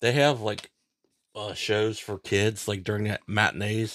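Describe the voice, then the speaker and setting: Dry and close with no echo, a man's fairly low voice in an American accent stays monotone and flat. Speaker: podcast co-host. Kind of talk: casual chat. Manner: loud talker.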